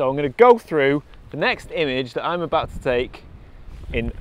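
A man talks at a moderate pace with ordinary pitch variation. The sound is dry, with no echo. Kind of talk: casual vlog chat. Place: open country. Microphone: phone near.

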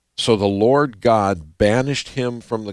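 Recorded with a quiet background and a dry sound with no echo, a man has an ordinary speaking voice, a fairly low pitch and ordinary pitch variation. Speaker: co-host Bible teacher. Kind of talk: Bible study teaching. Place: studio. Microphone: headset.

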